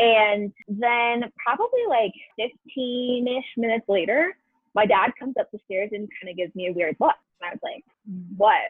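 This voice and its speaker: A woman with a plain, everyday voice speaks at a fairly high pitch. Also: ordinary pitch variation, moderate pace. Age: 20s. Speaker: retail store manager. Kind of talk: casual storytelling chat.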